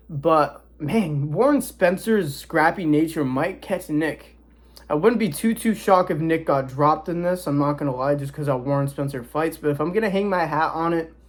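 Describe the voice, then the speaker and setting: Fairly high-pitched, a man speaks at a moderate pace with ordinary pitch variation. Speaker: boxing commentator youtuber. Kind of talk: casual predictions talk to camera. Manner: casual, stumbling at times.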